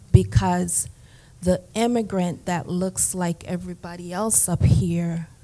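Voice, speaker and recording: A woman talks at a very slow pace in a fairly low voice. Noticeable background noise runs under her speech. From Jamaica. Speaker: therapist, conference panelist. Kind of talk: panel testimony.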